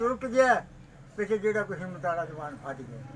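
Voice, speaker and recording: A high-pitched man's voice with lively intonation over light background noise. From Punjab, Pakistan. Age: 80s+. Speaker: partition survivor telling his story. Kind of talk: interview answer. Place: shop. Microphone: phone near.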